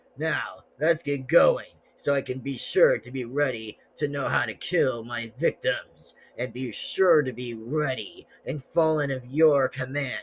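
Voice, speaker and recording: A man puts on a raspy character voice with a fairly high pitch. He talks at a fairly slow pace. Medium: solo performance. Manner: chuckling, gloating.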